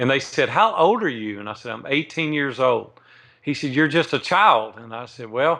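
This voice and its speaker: Over a quiet background, a man talks at a fairly quick pace with a Southern US accent, lively intonation and a bright, sharp tone. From US South, Nashville, Tennessee. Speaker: entrepreneur. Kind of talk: interview.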